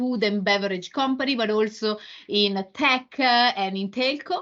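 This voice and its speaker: A fairly high-pitched woman with an Italian accent, fairly slow in pace, with ordinary pitch variation. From Italy. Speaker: marketing executive. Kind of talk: interview. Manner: halting, many fillers.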